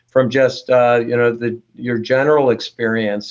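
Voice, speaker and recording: A man with an ordinary speaking voice at medium pitch, fairly even intonation and a moderate pace. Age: 60s. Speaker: neurologist. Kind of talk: panel discussion.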